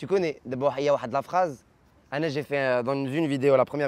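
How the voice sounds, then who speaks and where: The speaker talks at a fairly quick pace in a Moroccan accent, recorded with a dry, close sound and no echo. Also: man. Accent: Casablanca Moroccan accent in French. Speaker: comedian. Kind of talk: interview. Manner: fast; animated.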